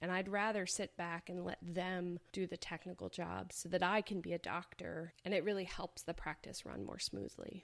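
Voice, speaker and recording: There is vocal fry in this woman's fairly low voice. Her intonation stays fairly even. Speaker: veterinarian and podcast host. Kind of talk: podcast monologue.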